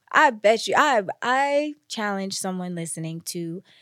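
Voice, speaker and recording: A woman with an American accent speaks with lively intonation at a medium pitch, in an unremarkable speaking voice. The recording is very clean, with a silent background. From New Jersey. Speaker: content creator and podcast guest. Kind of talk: casual chat.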